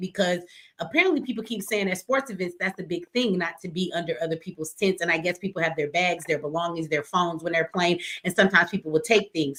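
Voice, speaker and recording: A woman talks at a very fast pace, her voice at a medium pitch with ordinary variation. Her tone is bright and sharp. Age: 40s. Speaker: live stream talk show host. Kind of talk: call-in debate.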